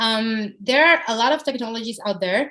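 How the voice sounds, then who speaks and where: The woman's voice is fairly high with lively intonation. The background is quiet. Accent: Spanish. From Dominican Republic. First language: Spanish. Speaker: software company international development head. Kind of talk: podcast interview answer.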